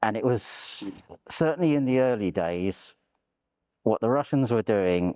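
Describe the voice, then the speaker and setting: In a London accent, the speaker moves at a fairly slow pace with lively intonation, in a dry, close sound with no echo on a very clean recording with a silent background. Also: man. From London, England. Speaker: war veteran. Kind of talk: interview testimony.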